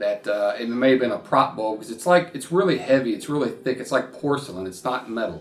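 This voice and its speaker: A man with a Kentucky accent talks at a fairly quick pace with hardly any pauses. His medium pitch carries lively intonation and big swings in loudness. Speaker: YouTuber, horror film fan. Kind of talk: casual vlog talk to camera. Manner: casual, halting with repetitions.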